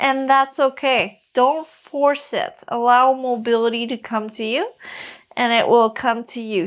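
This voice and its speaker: At a very slow pace, a woman with a French accent speaks in a high pitch with ordinary pitch variation. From Quebec. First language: Quebec French. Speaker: fitness coach. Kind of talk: follow-along exercise tutorial. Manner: casual, with many fillers.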